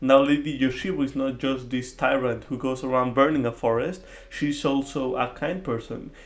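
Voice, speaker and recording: Speaking at a moderate pace, a man has a non-native accent. His voice sits at a medium pitch with fairly even intonation. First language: not English. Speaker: film video essayist. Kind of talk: video essay commentary. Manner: hesitant with filler words.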